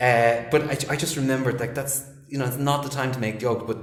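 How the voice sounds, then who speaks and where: A medium-pitched man with an Irish accent talks very fast, with noticeable background noise and audible room echo. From Ireland. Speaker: English teacher and film director. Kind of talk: casual chat. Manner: animated.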